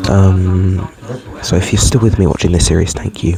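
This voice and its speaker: Noticeable background noise sits behind a man speaking at a fairly quick pace. His pitch is very deep and low, with ordinary variation. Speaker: travel vlogger. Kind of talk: casual vlog. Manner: hesitant, many fillers. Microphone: headset mic without pop filter.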